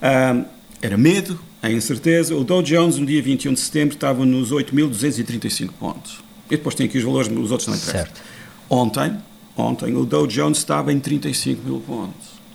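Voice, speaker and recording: Using lively intonation, a man with a medium pitch talks at a moderate pace. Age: 50s. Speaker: international affairs analyst. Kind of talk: interview.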